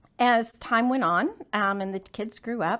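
A woman with a Texan accent, a fairly slow pace and ordinary pitch variation on a very clean recording with a silent background. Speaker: business owner. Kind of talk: interview.

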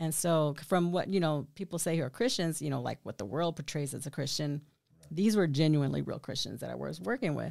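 Talking at a fairly quick pace in a Texan accent, a woman has a very deep, low pitch and vocal fry. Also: lively intonation. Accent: Texan American. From Killeen, Texas. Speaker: church member giving testimony. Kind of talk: testimony.

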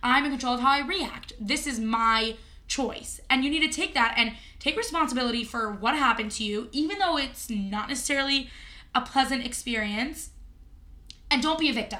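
Raised and projected, a woman's voice carries a bright, sharp tone at a high pitch. She moves at a fairly quick pace with ordinary pitch variation. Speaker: podcast co-host. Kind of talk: casual banter chat. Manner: joking, animated.

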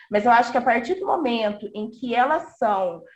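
Her pitch high, a woman speaks at a moderate pace with lively intonation. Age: 30s. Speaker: professor. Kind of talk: panel discussion.

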